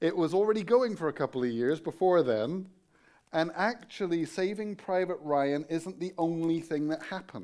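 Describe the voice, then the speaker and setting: Speaking with an English accent, a man with a high pitch talks at a moderate pace with ordinary pitch variation on a very clean recording with a silent background. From England. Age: 50s. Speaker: guest preacher, Bible college teacher. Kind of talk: sermon. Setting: church.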